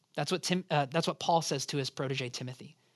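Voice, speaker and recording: Here a man speaks in a normal speaking voice with fairly even intonation. The background is quiet. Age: 30s. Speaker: pastor. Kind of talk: Bible study teaching. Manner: conversational.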